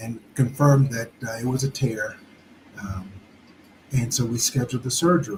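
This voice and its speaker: At a moderate pace, a man talks at a medium pitch with ordinary pitch variation. He takes long, frequent pauses. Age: 60s. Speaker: retired expat vlogger. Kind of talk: casual livestream chat. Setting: live stream. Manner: hesitant, many fillers.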